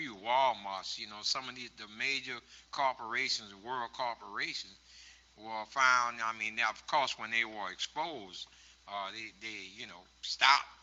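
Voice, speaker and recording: With a New York accent, a man speaks at a medium pitch and fairly even intonation. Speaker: activist and former prisoner. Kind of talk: public talk Q&A. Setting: stage with audience. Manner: halting.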